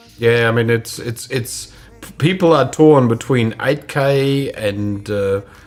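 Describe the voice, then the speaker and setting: Music plays behind a man who talks very slowly. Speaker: photography live show host. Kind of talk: casual chat. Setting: live stream video call. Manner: loud.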